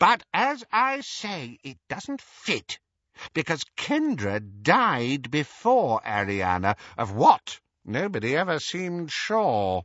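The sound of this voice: In a put-on character voice, a man speaks slowly at a fairly high pitch with a fairly bright tone and big pitch swings, the sound dry and close with no echo.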